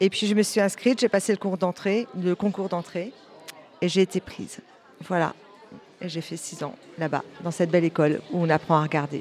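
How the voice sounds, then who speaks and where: A woman with a fairly low pitch speaks at a moderate pace, with long, frequent pauses and crowd noise in the background. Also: ordinary pitch variation. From Normandy, France (Calvados, near Caen). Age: 50s. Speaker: visual artist and photographer. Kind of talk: interview.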